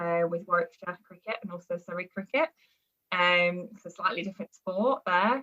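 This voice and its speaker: A woman with a Birmingham accent talks at a fairly quick pace. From England, Birmingham area. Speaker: performance nutritionist. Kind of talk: podcast interview. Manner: hesitant, many fillers.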